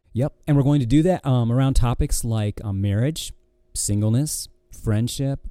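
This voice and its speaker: A man with an American accent speaks at medium pitch and a moderate pace. His tone is dark and mellow, with ordinary pitch variation. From Michigan, US Midwest. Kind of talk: casual chat; ministry message.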